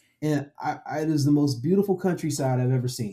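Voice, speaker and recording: A fairly high male voice, dark and mellow, somewhat breathy, with lively intonation on a very clean recording with a silent background. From Florida, US (Daytona Beach). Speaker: tech consultant, community speaker. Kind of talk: casual podcast chat. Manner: animated.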